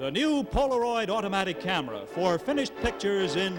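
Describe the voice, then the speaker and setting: Over music in the background, a man speaks at a fairly quick pace and a high pitch, his voice moving in very wide pitch swings. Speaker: game show announcer. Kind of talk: game show announcer introduction.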